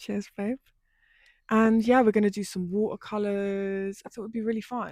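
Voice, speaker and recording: The delivery is flat and monotone at a moderate pace. The recording is very clean, with a silent background. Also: woman, medium pitch for a woman, big swings in loudness. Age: 20s. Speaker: lifestyle YouTuber. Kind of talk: casual chat.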